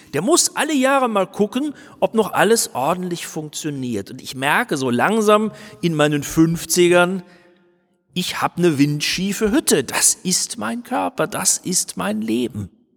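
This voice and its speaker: Over background music, a man with a high voice talks fairly slowly, his pitch swinging very widely, in a dry, close sound with no echo. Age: 50s. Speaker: pastor. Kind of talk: sermon.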